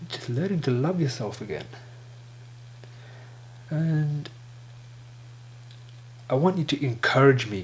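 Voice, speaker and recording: A man talks at a fairly slow pace with a fairly high, somewhat breathy voice. He leaves long, frequent pauses, and his pitch varies in an ordinary way. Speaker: stuttering vlogger. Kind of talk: casual talk to camera.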